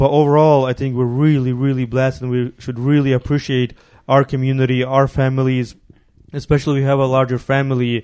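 A man with a Ukrainian accent, medium in pitch, at a fairly quick pace with monotone, flat intonation. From Ukraine. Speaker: podcast host. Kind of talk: casual chat.

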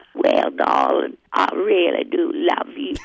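Using a put-on character voice, a man speaks at a fairly slow pace in a warm tone and an extremely high pitch. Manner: warm, affectionate.

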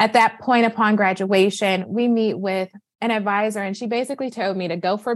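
A woman with a plain, everyday voice and an American accent speaks at a medium pitch and moderate pace, with fairly even intonation over a quiet background. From Michigan, US Midwest (Flint). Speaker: physician and wealth coach. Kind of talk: interview conversation.

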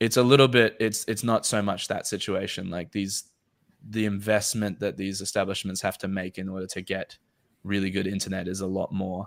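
A man speaks at a fairly low pitch in a flat monotone. The recording is very clean, with a silent background. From Australia. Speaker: podcast host. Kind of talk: casual chat. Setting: livestream.

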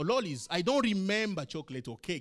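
A man's voice at a fairly quick pace with very wide pitch swings, music in the background. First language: not English. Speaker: pastor. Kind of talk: sermon. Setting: church.

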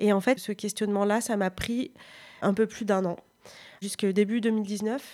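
At a moderate pace, a woman speaks in a fairly high voice. Her intonation stays fairly even. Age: 30s. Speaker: author. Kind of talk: interview.

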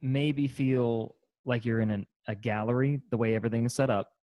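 At a fairly quick pace, a man talks in a normal speaking voice with a medium pitch. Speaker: podcast host. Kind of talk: casual interview chat.

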